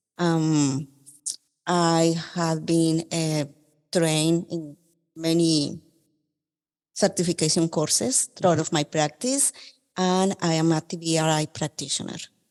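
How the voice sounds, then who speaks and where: The speaker has a Colombian accent and talks at a fairly slow pace with fairly even intonation. Long, frequent pauses come against a quiet background. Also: woman, fairly low pitch for a woman. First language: Spanish. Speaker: occupational therapist. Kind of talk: podcast interview.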